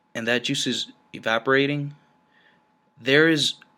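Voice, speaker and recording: Mumbling, a man speaks at a moderate pace in a bright, sharp tone. His pitch is fairly high and his intonation fairly even. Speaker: vaping hobbyist, military member. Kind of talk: tutorial. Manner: casual, halting.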